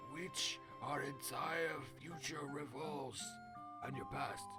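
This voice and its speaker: Put-on character voice over loud background music. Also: man. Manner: solemn, wise.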